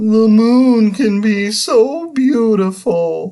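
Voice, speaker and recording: A put-on character voice at a very slow pace with fairly high pitch. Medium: read story.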